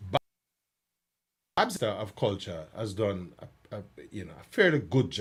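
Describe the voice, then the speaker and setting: A voice at a moderate pace with lively intonation, big swings in loudness, long and frequent pauses, and a somewhat breathy quality. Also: man, fairly low pitch for a man. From Jamaica. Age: 60s. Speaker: cultural commentator. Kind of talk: casual chat. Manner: halting.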